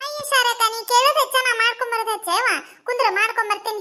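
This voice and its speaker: A squeaky, cartoonish character voice speaks at a moderate pace with fairly even intonation. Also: woman, extremely high pitch for a woman. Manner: earnest, dialect-heavy.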